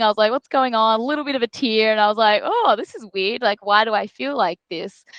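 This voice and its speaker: With an Australian accent, a woman speaks at a fairly high pitch with ordinary pitch variation, in a dry, close sound with no echo over a quiet background. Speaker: football player. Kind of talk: interview. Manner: casual, many fillers like um and like.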